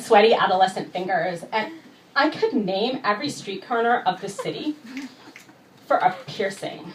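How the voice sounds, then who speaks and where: Against noticeable background noise, a woman speaks at a fairly high pitch with very wide pitch swings. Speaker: poet. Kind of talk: spoken word poetry performance. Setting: live venue.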